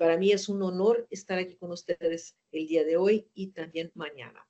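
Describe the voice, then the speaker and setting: The speaker has a Brazilian accent. The pitch varies in an ordinary way. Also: woman. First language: Portuguese (speaking Spanish). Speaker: gynecologist and lecturer. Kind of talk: lecture. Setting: webinar. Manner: hesitant, with fillers.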